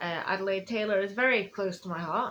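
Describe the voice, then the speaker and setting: A woman talks in a Yorkshire accent at a fairly quick pace. Her pitch is medium, with ordinary variation. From northern England, Sheffield. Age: 20s. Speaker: author. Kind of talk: casual live stream chat. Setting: Facebook live stream at home. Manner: fast.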